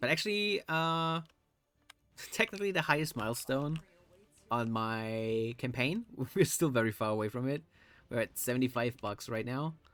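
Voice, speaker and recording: Music plays in the background. A man talks at a moderate pace with ordinary pitch variation. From Germany. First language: German. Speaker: streamer. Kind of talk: casual live stream chat.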